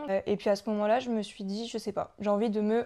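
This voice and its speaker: This woman has a medium pitch and a dark, mellow tone. She speaks at a fairly quick pace with monotone, flat intonation. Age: 20s. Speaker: guest sharing recovery from anorexia. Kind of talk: testimony.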